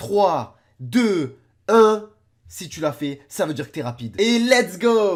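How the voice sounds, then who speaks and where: Intonation from this man is lively. His tone comes across as animated. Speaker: YouTuber reacting to videos. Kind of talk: reaction video commentary.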